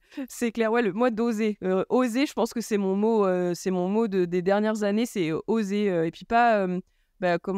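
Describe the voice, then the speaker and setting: Heard in a very clean, dry, close recording with a silent background and no echo, a woman with a medium pitch speaks at a moderate pace with fairly even intonation. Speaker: podcast host. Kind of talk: casual chat. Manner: loud.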